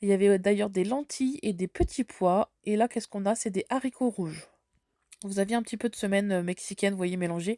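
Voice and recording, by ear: A woman's dark, mellow voice at medium pitch, fairly quick, with ordinary pitch variation and a dry, close sound free of echo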